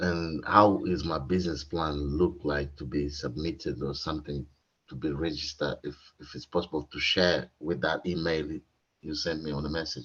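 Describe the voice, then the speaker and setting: In a non-native accent, a man with a very deep, low voice and vocal fry speaks at a moderate pace with fairly even intonation. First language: not English. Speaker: workshop attendee, aspiring entrepreneur. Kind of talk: audience question. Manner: halting.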